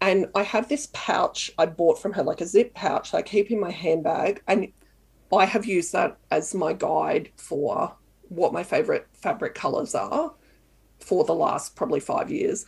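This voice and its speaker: Speaking with an Australian accent, a woman talks at a fairly slow pace. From Canberra, Australia. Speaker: sewing blogger. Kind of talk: casual interview chat.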